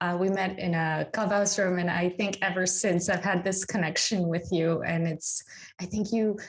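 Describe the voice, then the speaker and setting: A woman at a medium pitch, somewhat breathy, with ordinary pitch variation and a moderate pace. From Tanzania, then England from age 13. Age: 40s. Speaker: life coach. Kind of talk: interview conversation.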